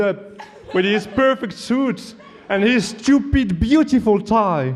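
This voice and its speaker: Over noticeable background noise, a man with a high pitch talks at a fairly slow pace with ordinary pitch variation. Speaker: student debater. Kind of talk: competitive debate speech. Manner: formal, humorous oratory.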